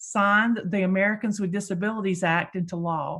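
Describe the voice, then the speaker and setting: A somewhat breathy woman at a moderate pace, in a very clean recording with a silent background. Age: 60s. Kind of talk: event introduction. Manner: hesitant with frequent fillers.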